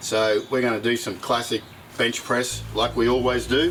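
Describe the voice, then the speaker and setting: A man at medium pitch and moderate pace, with music in the background. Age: 60s. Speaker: fitness youtuber. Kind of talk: casual tutorial. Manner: casual, conversational.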